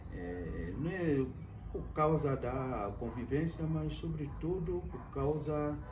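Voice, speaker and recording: Over background music, a man speaks very slowly with audible room echo. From Ivory Coast. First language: French (speaking Portuguese). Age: 60s. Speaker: university professor. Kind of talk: interview. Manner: hesitant, many fillers.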